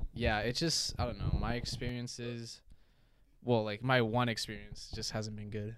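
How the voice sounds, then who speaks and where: Monotone and flat in intonation, a man with a medium pitch speaks at a moderate pace. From Hong Kong. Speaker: college student. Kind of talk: casual chat.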